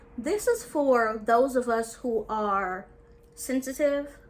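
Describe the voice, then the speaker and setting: Noticeable background noise runs under this recording. A woman talks in an animated tone at a high pitch. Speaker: dating and life coach. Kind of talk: casual vlog talk to camera.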